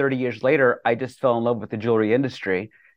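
This man has a plain, everyday voice and an American accent. He talks at a fairly quick pace and a medium pitch, with fairly even intonation. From US, eastern Colorado. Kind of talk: interview. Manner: casual, with filler words.

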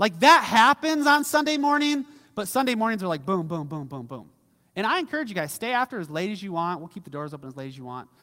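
A man's high-pitched, raised and projected voice, bright and sharp in tone, very fast, with very wide pitch swings and big swings in loudness, on a very clean recording with a silent background. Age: 30s. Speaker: pastor. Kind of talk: sermon. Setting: church. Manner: casual, conversational.

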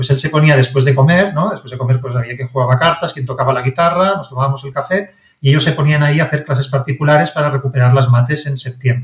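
A somewhat breathy man at a fairly high pitch, very fast, with fairly even intonation and hardly any pauses. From Barcelona, Spain. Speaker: science and maths content writer, author. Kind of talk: interview.

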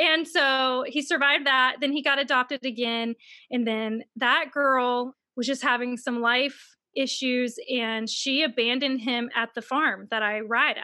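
A woman with an American accent projects a raised, high-pitched voice, bright and sharp in tone, at a fairly slow pace with fairly even intonation, in a very clean recording with a silent background. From US South, Mississippi. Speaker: author. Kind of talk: casual interview.

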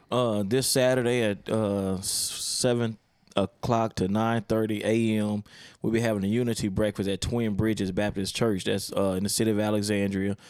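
With an American accent, a man speaks at a fairly low pitch and moderate pace. His loudness stays very even and his intonation is monotone and flat. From Baltimore, Maryland. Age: 40s. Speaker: pastor. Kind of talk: casual chat.

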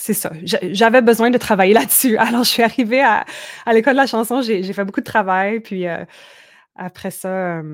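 On a very clean recording with a silent background, a woman with an unremarkable speaking voice talks at a moderate pace, her pitch fairly high and ordinarily varied. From Manitoba, Canada (Franco-Manitoban Métis village). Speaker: singer-songwriter. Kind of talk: casual interview.

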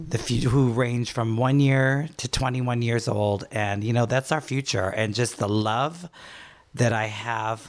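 Speaking at a fairly slow pace, a man uses a normal speaking voice with ordinary pitch variation. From Trinidad, moved to the US for university. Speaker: former fitness instructor and event operations head in recovery. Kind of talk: casual interview, personal testimony.

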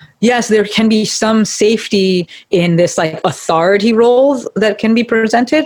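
An ordinary speaking voice with lively intonation. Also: woman. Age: 30s. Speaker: physical therapist. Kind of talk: casual chat.

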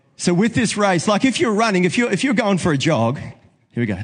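This man speaks with a New Zealand accent in a high voice at a fairly quick pace. His pitch swings very widely. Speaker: preacher. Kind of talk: sermon. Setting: church.

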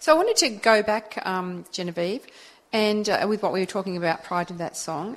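A woman with an Australian accent keeps to a moderate pace. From Australian countryside. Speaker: community radio co-host. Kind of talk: radio DJ patter, cheery station IDs and back-announcing. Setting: community radio studio. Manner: warm, bright and breezy, laid-back banter.

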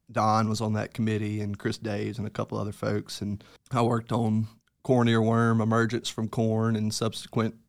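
In a very clean recording with a silent background, a man with a Mississippi accent speaks at a moderate pace and medium pitch in a flat monotone. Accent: US Southern (Mississippi). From Mississippi Delta, Greenville. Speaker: entomologist. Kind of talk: casual interview. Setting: studio.

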